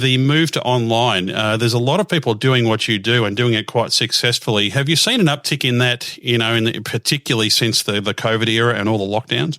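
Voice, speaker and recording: With an Australian accent, a man speaks fairly quickly at a medium pitch in a bright, sharp tone. His loudness stays very even and his pitch varies in an ordinary way. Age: 50s. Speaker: radio host. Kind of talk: interview. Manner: hesitant with many fillers.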